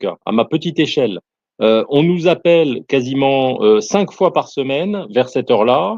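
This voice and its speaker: A man with a non-native accent speaks at a fairly high pitch with very wide pitch swings, and the sound is dry and close with no echo. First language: not French (speaking French). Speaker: soldier. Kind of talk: casual chat. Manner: halting, many hesitations.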